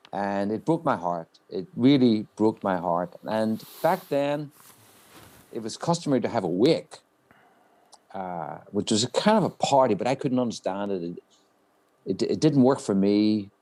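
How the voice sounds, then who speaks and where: Using lively intonation, a man of medium pitch with a dark, mellow tone speaks at a fairly slow pace with long, frequent pauses. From Northern Ireland, County Down. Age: 60s. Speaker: Irish-American community figure presenting an award. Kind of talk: award presentation speech. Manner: halting, with many fillers and repeats.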